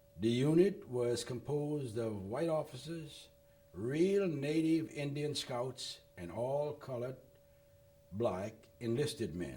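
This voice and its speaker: A man's somewhat breathy, dark and mellow voice at a fairly high pitch, very slow in pace, with lively intonation. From Louisiana, Lafayette. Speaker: war veteran. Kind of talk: oral history interview. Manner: reading from prepared notes.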